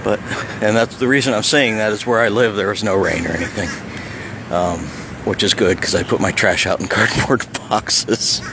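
With noticeable background noise but a dry sound with no echo, a man talks at a fairly quick pace in a fairly low pitch with ordinary pitch variation. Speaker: local vlogger filming the beach. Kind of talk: casual vlog chat. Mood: relaxed, amused. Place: beach. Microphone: phone near.

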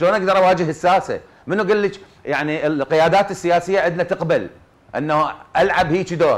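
A man with an Iraqi accent, high-pitched, fairly quick, with fairly even intonation and very even loudness. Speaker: actor. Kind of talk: TV panel discussion; interview answer. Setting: studio. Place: studio. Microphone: lapel.

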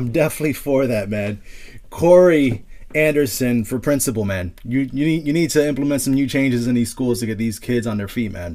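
A man with an unremarkable speaking voice talks at a fairly quick pace, medium in pitch, with ordinary pitch variation. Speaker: podcast host. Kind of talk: interview.

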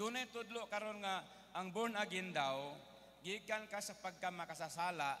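A man speaks in an animated, bright and sharp tone. His pace is fairly slow, with ordinary pitch variation. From Philippines. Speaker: preacher. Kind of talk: sermon. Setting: stage with audience. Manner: animated, call-and-response, keeps asking the congregation for an Amen; switches between Tagalog, English and Cebuano, with humorous asides. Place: hall. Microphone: handheld.

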